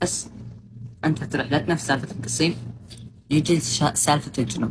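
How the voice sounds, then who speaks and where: Speaking in a Saudi accent, a woman with a very deep, low pitch and a somewhat breathy voice talks at a moderate pace with lively intonation. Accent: Saudi Arabic with slight Qassimi touch. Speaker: social media streamer. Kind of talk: casual livestream chat. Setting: livestream.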